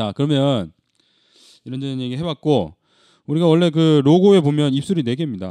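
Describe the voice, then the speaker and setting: Against a quiet background, a man with a fairly high pitch and a dark, mellow tone talks at a fairly quick pace with lively intonation, broken by long, frequent pauses. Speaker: podcast host. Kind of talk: casual chat. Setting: studio.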